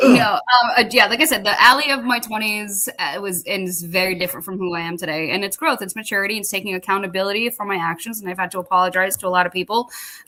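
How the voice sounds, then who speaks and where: A woman speaks at a very fast pace with hardly any pauses and ordinary pitch variation, over noticeable background noise. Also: medium pitch for a woman. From Massachusetts. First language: Portuguese. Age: 40s. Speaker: army veteran, radio co-host. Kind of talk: casual chat.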